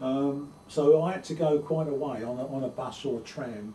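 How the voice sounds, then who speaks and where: A man with a London accent speaks with lively intonation in a dark, mellow, somewhat breathy tone. Audible room echo surrounds his voice. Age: 70s. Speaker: oral history interviewee. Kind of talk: oral history interview. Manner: halting.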